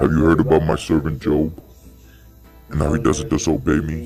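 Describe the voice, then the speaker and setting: A man's very deep, low put-on character voice at a moderate pace, with clear music in the background. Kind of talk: family home skit acting. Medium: comedy sketch. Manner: commanding, authoritative.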